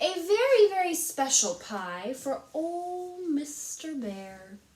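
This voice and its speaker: A woman performs a put-on character voice at an extremely high pitch. She speaks very slowly, with very wide pitch swings. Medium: read story. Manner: shrill, fiery.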